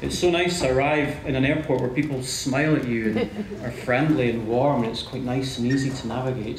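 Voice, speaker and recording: A man talks at a fairly quick pace in a medium pitch with ordinary pitch variation. Noticeable background noise and audible room echo fill the recording. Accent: Scottish. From Scotland, Scottish Borders (Hawick). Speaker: consulting partner. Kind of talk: conference presentation. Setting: stage with audience. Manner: hesitant, repeats words.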